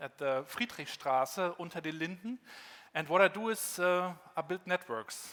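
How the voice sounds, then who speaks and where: Speaking at a moderate pace, a man with a German accent has a high-pitched voice. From northern Germany (Rostock, former GDR). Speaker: keynote speaker. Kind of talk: conference keynote. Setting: stage with audience.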